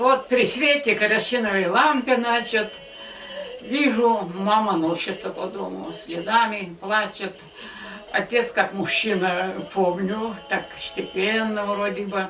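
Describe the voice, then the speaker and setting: A medium-pitched woman at a very slow pace with ordinary pitch variation, amid audible room echo and noticeable background noise. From Chuvashia, Russia. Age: 80s+. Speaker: community elder. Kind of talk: life story interview.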